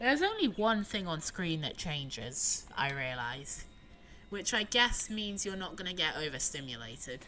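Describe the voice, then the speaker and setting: A woman at a fairly low pitch with very wide pitch swings and a moderate pace, music in the background. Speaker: gaming streamer. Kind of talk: live gameplay commentary. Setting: live stream.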